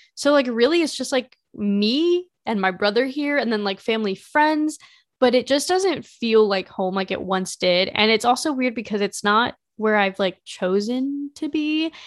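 Against a quiet background, a woman with a fairly high pitch speaks at a moderate pace with lively intonation in an ordinary speaking voice. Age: 20s. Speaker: fashion podcaster and YouTuber. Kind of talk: casual solo chat. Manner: chatty, many fillers.

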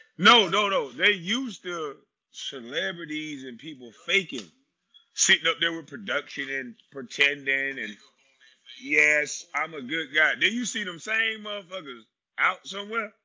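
An animated man at a fairly high pitch, bright and sharp in tone, fairly slow, with very wide pitch swings, big swings in loudness and a quiet background. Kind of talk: stand-up comedy riff, profane and crowd-facing, in the style of a live comedy set. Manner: animated, loud and profane, with punchlines and laughing at his own jokes.

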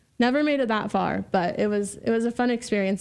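A woman with an American accent, medium in pitch, at a moderate pace, in a plain, everyday voice, against a quiet background. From US Pacific Northwest, Vancouver, Washington. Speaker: entrepreneur and solar sales representative. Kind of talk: casual interview chat.

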